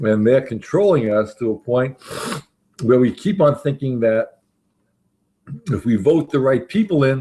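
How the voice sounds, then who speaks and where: At a fairly slow pace with long, frequent pauses, a man of medium pitch speaks in a dark, mellow tone. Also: lively intonation. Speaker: talk show host. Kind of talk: casual group discussion.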